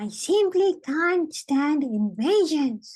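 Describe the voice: Very slowly, a woman uses a squeaky, put-on character voice at a high pitch.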